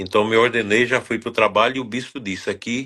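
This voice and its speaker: The voice has a bright, sharp tone and fairly even intonation. It moves at a fairly quick pace over a quiet background. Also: man. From Brazil, northern Goiás. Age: 60s. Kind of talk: interview.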